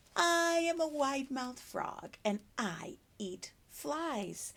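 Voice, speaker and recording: At a very slow pace, the speaker talks in a put-on character voice. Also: woman, high pitch for a woman. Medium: read story. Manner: storybook read-aloud for preschoolers.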